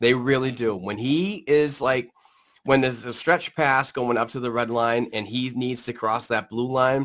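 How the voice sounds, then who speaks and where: Here a man with a New England accent speaks fairly slowly at a medium pitch, with ordinary pitch variation. The background is quiet. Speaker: hockey podcast host. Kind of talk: casual sports talk. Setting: live stream.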